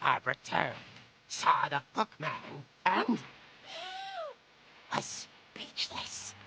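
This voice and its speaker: This is a put-on character voice. It moves at a fairly slow pace with long, frequent pauses. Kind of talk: horror comic narration. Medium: video game. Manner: wry, theatrical.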